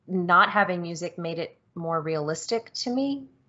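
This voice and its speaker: This woman has a plain, everyday voice, medium in pitch, with lively intonation. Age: 30s. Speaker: video game podcast host. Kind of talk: casual chat.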